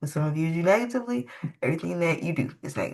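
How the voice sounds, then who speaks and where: A woman's voice sits fairly low and swings very widely in pitch. The background is quiet. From United States. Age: 20s. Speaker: writer. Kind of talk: casual chat. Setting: podcast.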